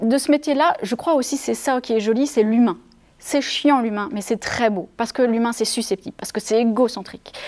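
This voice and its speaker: This woman's voice sits fairly high, with normal pitch movement, and she keeps a moderate speed. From France, Savoie. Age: 40s. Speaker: improv theatre director. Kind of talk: interview. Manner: hesitant; animated.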